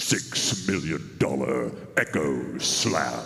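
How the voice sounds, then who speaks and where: Over clear background noise, a man uses a put-on character voice that is raspy and very deep, speaking at a very slow pace. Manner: heroic, booming.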